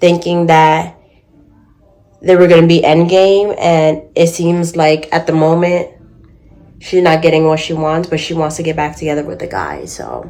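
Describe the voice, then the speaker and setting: Here a woman talks with a fairly low pitch. Her pace is fairly slow. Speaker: reading vlogger. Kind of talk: casual vlog talk. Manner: soft-spoken.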